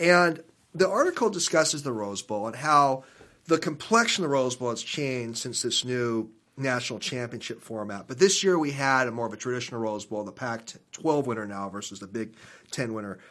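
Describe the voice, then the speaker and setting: A man with an American accent speaks at a fairly quick pace in a plain, everyday voice, his medium pitch carrying lively intonation and big swings in loudness. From Seattle. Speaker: radio host. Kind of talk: casual interview chat.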